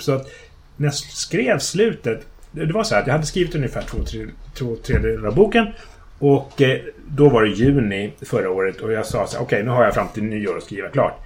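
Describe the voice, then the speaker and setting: A man speaks at a fairly quick pace in a fairly high voice with vocal fry. His pitch swings very widely. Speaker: fantasy author. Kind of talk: casual chat. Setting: in his home kitchen, in person.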